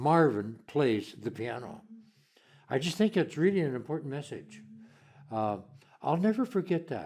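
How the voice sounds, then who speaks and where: A man's fairly high voice with very wide pitch swings and long, frequent pauses, on a very clean recording with a silent background. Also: moderate pace. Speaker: piano teacher. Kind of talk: interview. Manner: halting.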